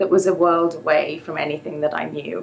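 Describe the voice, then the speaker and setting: A woman speaks with an English accent at a fairly low pitch. Noticeable background noise sits behind her. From England. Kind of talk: live storytelling performance.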